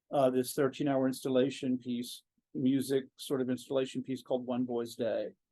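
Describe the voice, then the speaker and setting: A man speaks at a medium pitch and moderate pace. His tone is dark and mellow, his intonation monotone and flat. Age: 60s. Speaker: composer. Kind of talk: interview. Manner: halting.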